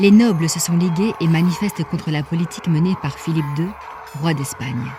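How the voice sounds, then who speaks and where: The speaker takes a fairly slow pace while music plays underneath. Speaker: narrator. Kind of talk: audio drama story narration.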